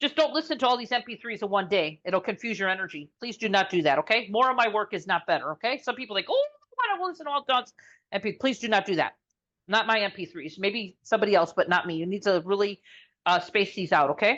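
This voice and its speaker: Her intonation lively, a woman speaks at a very fast pace and a medium pitch. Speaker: energy healer selling frequency recordings. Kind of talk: sales pitch. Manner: halting, many fillers.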